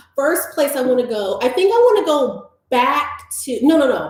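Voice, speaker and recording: Audible room echo surrounds an animated tone and lively intonation delivered with an American accent. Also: woman. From US South, Atlanta, Georgia. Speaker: YouTuber, interviewer. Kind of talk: casual chat. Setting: livestream.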